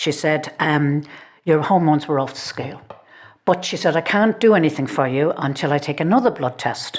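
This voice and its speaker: With an Irish accent, a woman speaks at a moderate pace in a very deep, low pitch with ordinary pitch variation. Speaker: podcast co-host. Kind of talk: casual chat.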